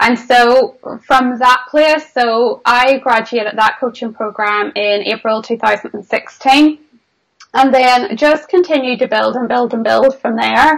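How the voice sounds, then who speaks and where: A woman's high-pitched voice in a Northern Irish accent, fairly slow in pace, with ordinary pitch variation. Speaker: business mentor. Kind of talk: interview.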